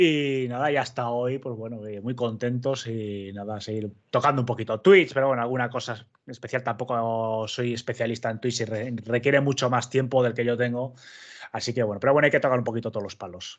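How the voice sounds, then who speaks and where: At a fairly quick pace, a man with an ordinary speaking voice and medium pitch keeps his intonation fairly even. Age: 30s. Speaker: basketball content creator. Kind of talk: casual chat.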